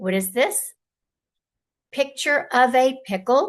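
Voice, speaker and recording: A woman's high-pitched voice at a very slow pace, with very wide pitch swings. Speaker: storyteller. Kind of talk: children's read-aloud story. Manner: gentle, cozy.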